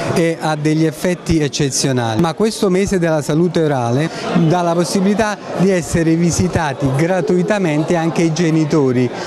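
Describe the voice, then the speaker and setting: A man talks at a moderate pace with ordinary pitch variation. Noticeable background noise runs under his voice. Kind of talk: interview answer. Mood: confident, pleased. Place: hall. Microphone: handheld.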